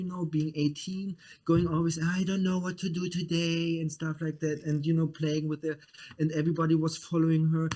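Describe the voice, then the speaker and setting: A man with a German accent, a fairly high pitch and a dark, mellow tone. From Germany. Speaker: media producer. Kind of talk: casual chat. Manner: halting.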